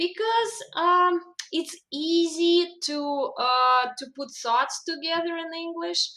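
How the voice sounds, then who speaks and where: A raised, projected voice in a Russian accent, very slow, with lively intonation. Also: woman. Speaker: language coach. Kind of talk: interview.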